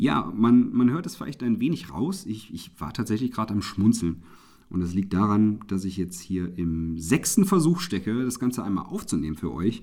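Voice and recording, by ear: Here a man with a fairly low pitch talks with lively intonation and few pauses. His tone is slightly mellow. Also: moderate pace.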